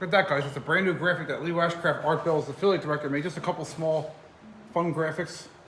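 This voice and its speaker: A man speaks very fast in a monotone, flat delivery. His pitch is fairly high, and noticeable background noise is present. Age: 40s. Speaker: paranormal investigator, team founder. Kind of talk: casual chat; tutorial. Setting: indoors at a distillery at night.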